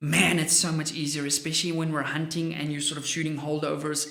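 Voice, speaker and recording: An animated tone in an Afrikaans accent, with noticeable background noise. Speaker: firearms gear reviewer. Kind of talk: product review vlog.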